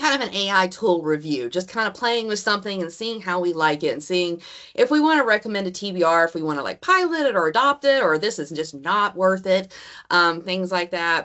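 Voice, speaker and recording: A woman speaks in a Southern accent at a fairly quick pace. Her intonation is lively. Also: medium pitch for a woman. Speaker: college instructor. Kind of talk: online meeting presentation. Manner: casual, filler-heavy.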